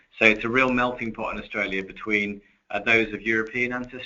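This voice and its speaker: With music in the background, a man speaks at a moderate pace, his fairly low pitch held in fairly even intonation. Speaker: retail executive. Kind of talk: webinar presentation. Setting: webinar. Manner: hesitant, many fillers.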